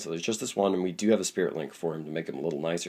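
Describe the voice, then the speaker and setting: The voice is husky, with vocal fry and a dark, mellow tone. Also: man. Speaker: Pokemon card game YouTuber. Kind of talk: deck review tutorial. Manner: casual with many fillers.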